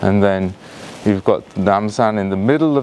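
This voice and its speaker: A man speaks at a fairly slow pace with a Yorkshire accent. Noticeable background noise runs behind him. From northern England, Yorkshire. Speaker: tour guide. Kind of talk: live virtual tour narration. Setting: outdoors. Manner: halting, many fillers; hushed, quiet.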